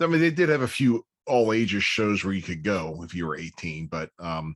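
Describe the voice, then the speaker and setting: A man with an American accent, fairly low in pitch, with very wide pitch swings and big swings in loudness, in a dry, close sound with no echo. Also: moderate pace, quiet background. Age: 50s. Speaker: podcast host. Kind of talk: casual interview chat.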